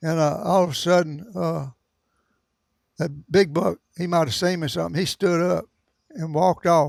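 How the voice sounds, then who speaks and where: A Southern US accent in a dry, close sound with no echo. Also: man. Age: 80s+. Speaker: veteran deer hunter. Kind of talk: interview answer. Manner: casual storytelling.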